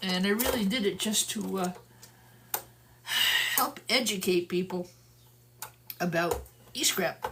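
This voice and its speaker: A woman at medium pitch and a fairly slow pace, with noticeable background noise. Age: 60s. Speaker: e-scrap recycler, channel host. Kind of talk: live stream teardown chat. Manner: casual, hesitant with fillers.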